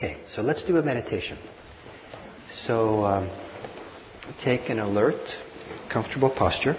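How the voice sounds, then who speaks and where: A man talks with long, frequent pauses over noticeable background noise. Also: medium pitch for a man, ordinary pitch variation, moderate pace. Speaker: meditation teacher. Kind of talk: guided meditation. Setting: live class with audience, mic and hearing system.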